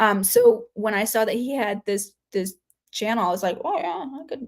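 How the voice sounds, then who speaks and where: In a very clean recording with a silent background, a woman mumbles at a fairly slow pace with a fairly high pitch and lively intonation. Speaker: human design chart reader, livestreamer. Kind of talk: casual livestream chat. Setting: live stream. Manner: mumbling; halting, filler-heavy.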